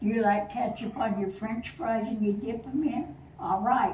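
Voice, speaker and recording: A woman at a fairly slow pace, with audible room echo and light background noise. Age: 80s+. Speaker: grandmother telling a family story. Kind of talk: storytelling to family. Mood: warm, playful. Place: home room. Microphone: camera far.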